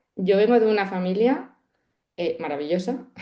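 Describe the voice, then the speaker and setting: A woman's voice carries a dark, mellow tone and ordinary pitch variation. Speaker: meditation teacher. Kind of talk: podcast interview. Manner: fast; nervous, energetic.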